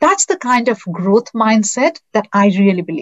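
With an Indian accent, a woman talks in a somewhat breathy voice with ordinary pitch variation. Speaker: customer success executive. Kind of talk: interview.

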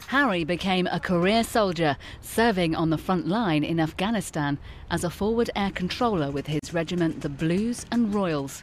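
This woman has an ordinary speaking voice with a fairly low pitch. She speaks at a moderate pace with lively intonation. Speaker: documentary narrator. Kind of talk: scripted narration.

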